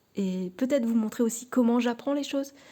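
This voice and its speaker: Her intonation is fairly even, and her tone is dark and mellow. The woman sounds somewhat breathy, with a fairly high pitch. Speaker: tarot card reader and YouTuber. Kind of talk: casual vlog talk to camera. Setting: at home in her living room. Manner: halting, many fillers and repetitions.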